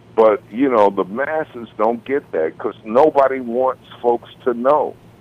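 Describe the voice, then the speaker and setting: A man's medium-pitched voice at a fairly slow pace, a normal speaking voice. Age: 60s. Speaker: music industry veteran and author. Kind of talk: podcast interview.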